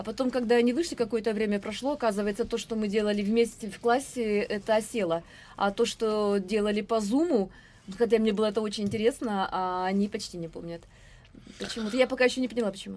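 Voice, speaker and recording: Her voice fairly high, a woman rushes through her words at a very fast pace. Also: ordinary pitch variation. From Russia, Irkutsk region. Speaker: teacher. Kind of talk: casual chat. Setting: studio.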